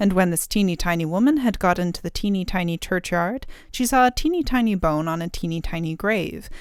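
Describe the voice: The speaker is reading aloud. The delivery is plain.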